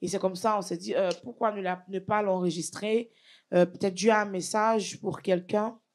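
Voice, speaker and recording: Her medium-pitched voice, in an Ivorian accent, stays monotone and flat at a moderate pace, and this woman is captured in a very clean recording with a silent background. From Côte d'Ivoire, west (Guéré region, Bangolo). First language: Guéré (speaking French). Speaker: gospel singer. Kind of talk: interview.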